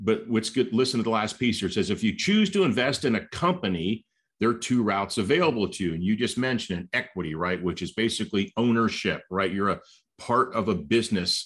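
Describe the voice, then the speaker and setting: A plain, everyday voice with lively intonation at a fairly quick pace over a quiet background. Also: man. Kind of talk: casual chat, podcast discussion.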